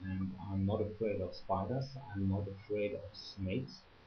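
A man's ordinary speaking voice, fairly low in pitch with ordinary pitch variation, at a moderate pace over light background noise. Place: home room. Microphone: webcam.

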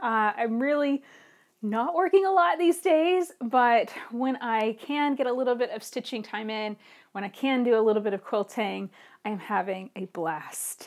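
A woman's high voice at a moderate pace, with very wide pitch swings over a quiet background. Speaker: quilting podcast host. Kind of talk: casual chat. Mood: cheerful, chatty. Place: home room.

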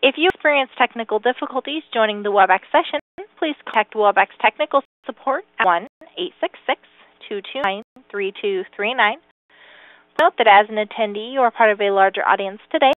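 Recorded with a dry sound and no echo, a woman talks at a fairly quick pace against a quiet background. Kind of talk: scripted announcement. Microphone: phone line.

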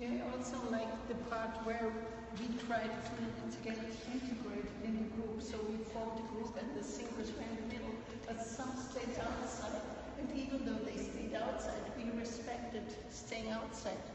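Over noticeable background noise and strong room echo, a woman speaks at a fairly high pitch in a monotone, flat intonation. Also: moderate pace. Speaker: audience participant. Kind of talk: group discussion. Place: hall. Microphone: phone near.

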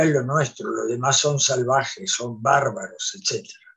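A man speaks at a fairly high pitch, somewhat breathy, with fairly even intonation. The background is quiet. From Santa Fe, Argentina. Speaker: panelist. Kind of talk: academic talk. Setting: video call. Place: home room. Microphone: video call.

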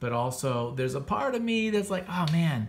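Over light background noise, a man with an unremarkable speaking voice talks with lively intonation. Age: 40s. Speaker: comics podcast host and artist; comics podcast host. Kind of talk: casual review monologue. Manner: casual, filler-heavy. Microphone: phone near.

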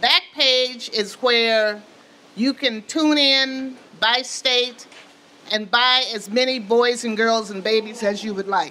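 A woman with an American accent speaks at a very slow pace, her fairly high voice bright and sharp in tone. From Wisconsin. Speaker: community forum moderator. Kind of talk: public forum moderation. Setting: stage with audience. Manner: animated. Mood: earnest, concerned. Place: meeting room. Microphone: handheld.

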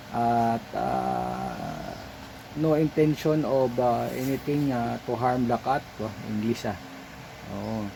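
Noticeable background noise surrounds a man's voice. He talks at a very slow pace with long, frequent pauses. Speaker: pet vlogger. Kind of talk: voice-over narration. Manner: halting; unscripted, hesitant.

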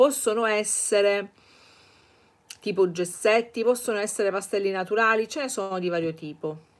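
A woman's voice, with ordinary pitch variation, moves at a moderate pace. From Sicily, Catania; Sicily. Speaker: art teacher, channel owner; art teacher. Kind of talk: live-stream Q&A lesson. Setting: live stream. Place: home room. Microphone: webcam.

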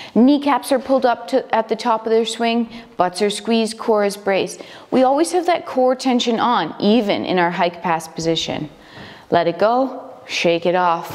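In a calm tone with lively intonation, a woman with a fairly high pitch talks at a moderate pace. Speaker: fitness instructor. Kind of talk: instructional workout coaching, step-by-step cueing of exercises. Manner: clear, directive, calm and encouraging, with brisk countdown cues. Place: gym.

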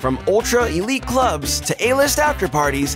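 Clear music sits in the background. A man speaks over it at a moderate pace. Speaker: voice actor. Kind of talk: documentary narration. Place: studio.

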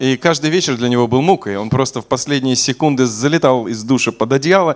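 Against a quiet background, a man with an unremarkable speaking voice talks at a fairly quick pace and a fairly high pitch. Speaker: preacher. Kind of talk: sermon. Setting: church. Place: church. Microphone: podium.

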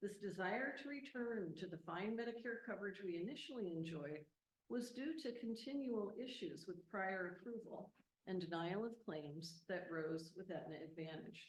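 Somewhat breathy and at medium pitch, a woman speaks at a moderate pace with lively intonation. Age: 70s. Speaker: retired school employee speaking at public comment. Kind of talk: public comment at board meeting. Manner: formal.

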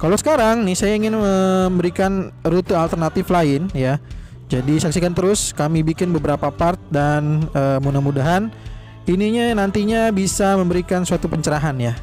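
Over faint background music, a man speaks at a very even loudness in a dry sound with no echo. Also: ordinary pitch variation, moderate pace. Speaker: family travel vlogger. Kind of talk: casual vlog chat. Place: car. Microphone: phone near.

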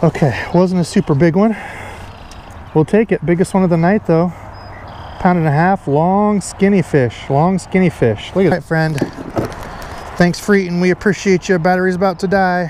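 The speech moves at a moderate pace, broken by long, frequent pauses. The sound is dry with no echo, with noticeable background noise. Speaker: fishing vlogger. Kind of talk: casual vlog chat. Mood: excited, upbeat. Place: boat. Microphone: camera far.

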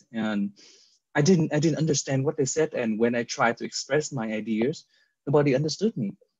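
At a fairly quick pace, a man speaks with ordinary pitch variation in a dry sound with no echo and a quiet background. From Vietnam. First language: Vietnamese. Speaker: real estate agent. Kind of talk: casual interview. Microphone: video call.

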